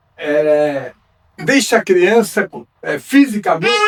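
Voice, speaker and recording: A man's voice at a very slow pace, with very wide swings in pitch. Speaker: judo master, federation president. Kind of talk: ceremony speech. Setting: dojo with audience.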